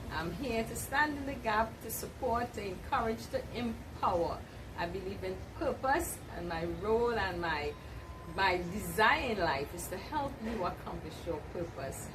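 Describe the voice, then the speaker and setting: A woman at a fairly slow pace and medium pitch, with very wide pitch swings over noticeable background noise. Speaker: empowerment coach. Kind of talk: channel intro to camera. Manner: upbeat.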